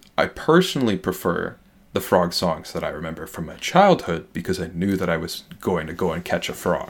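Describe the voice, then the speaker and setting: With a very deep, low-pitched voice, a man speaks at a fairly quick pace. His intonation stays fairly even while his loudness swings widely. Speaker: scientist guest sharing frog facts. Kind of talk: informative casual chat. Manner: polished, clear enunciation, radio-like.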